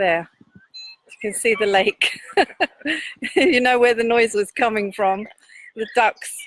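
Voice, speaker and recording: Fairly high in pitch, a woman speaks at a fairly slow pace with fairly even intonation. The sound is dry and close, with no echo. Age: 60s. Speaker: activist. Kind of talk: casual chat. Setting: outdoors.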